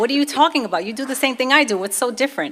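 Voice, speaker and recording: A woman speaks with a Brooklyn accent. Her pitch swings very widely. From US Northeast, Brooklyn, New York. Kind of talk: testimony.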